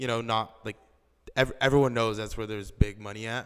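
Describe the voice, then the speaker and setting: On a very clean recording with a silent background, a man speaks very fast at a medium pitch in a flat monotone. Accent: American. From Los Angeles County, California. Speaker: finance student and real estate analyst. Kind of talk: casual chat.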